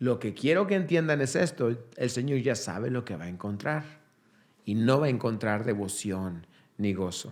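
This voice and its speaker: A man's medium-pitched voice with lively intonation at a moderate pace, with audible room echo. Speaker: pastor. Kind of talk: sermon. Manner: halting.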